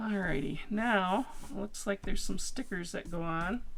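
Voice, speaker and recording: A woman does a hoarse, put-on character voice at medium pitch, moving at a moderate pace with lively intonation over light background noise. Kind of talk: casual, chatty.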